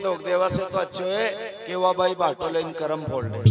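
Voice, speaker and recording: This man speaks with a high pitch. His pitch varies in an ordinary way. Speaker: storyteller / religious kathavachak. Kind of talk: devotional storytelling (katha) to a live audience.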